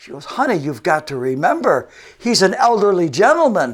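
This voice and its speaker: Delivered at a moderate pace in a western New York accent, the voice makes very wide pitch swings. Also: man. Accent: western New York American. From Buffalo, New York, US. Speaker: fitness coordinator and TV fitness guest. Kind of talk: TV and radio interview; anecdotal storytelling.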